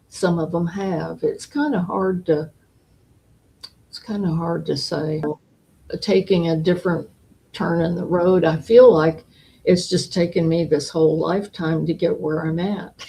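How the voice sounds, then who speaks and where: A woman speaks with a dark, mellow tone at a fairly low pitch, somewhat breathy. Her intonation stays fairly even, broken by long, frequent pauses. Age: 80s+. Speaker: elderly interviewee. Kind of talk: interview.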